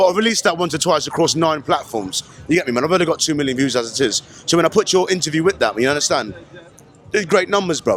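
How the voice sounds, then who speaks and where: Against noticeable background noise, a man speaks very fast at a fairly high pitch with lively intonation. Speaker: street interviewer. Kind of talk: casual street interview. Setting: outdoor festival.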